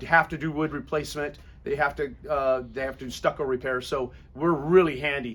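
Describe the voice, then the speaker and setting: This man has an ordinary speaking voice, with ordinary pitch variation and a moderate pace. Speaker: painting contractor. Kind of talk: business presentation Q&A.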